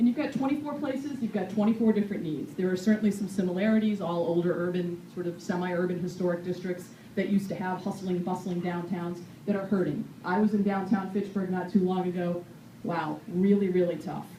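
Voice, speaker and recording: A woman with an American accent talks at a fairly quick pace, with noticeable background noise and audible room echo. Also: medium pitch for a woman, ordinary pitch variation. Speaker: city mayor. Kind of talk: public meeting address. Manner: fast.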